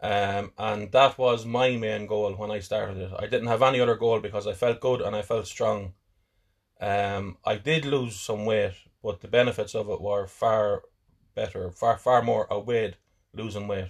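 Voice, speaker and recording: This man has a fairly low voice and a somewhat breathy quality. He talks at a moderate pace with fairly even intonation over a quiet background. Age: 40s. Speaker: podcaster. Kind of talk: casual chat.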